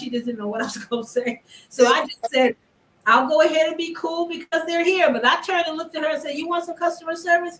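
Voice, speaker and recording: A woman with an American accent uses a raised, projected voice at an extremely high pitch. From California. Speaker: artist in online circle. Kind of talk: casual chat.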